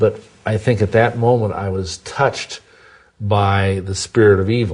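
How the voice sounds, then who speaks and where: Slightly breathy, a man speaks at a fairly low pitch and a moderate pace with fairly even intonation. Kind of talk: interview testimony.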